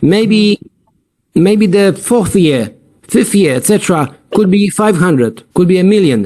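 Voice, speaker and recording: A man with a non-native accent speaks at a fairly slow pace with very even loudness. His high-pitched voice has a dark, mellow tone. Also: lively intonation. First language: not English. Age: 50s. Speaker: platform founder. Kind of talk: sales pitch. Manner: halting.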